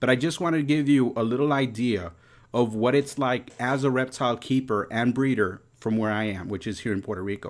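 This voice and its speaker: On a very clean recording with a silent background, a man with a New York accent speaks at a medium pitch. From New York City. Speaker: reptile breeder and YouTuber. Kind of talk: live stream talk. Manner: casual, filler-heavy.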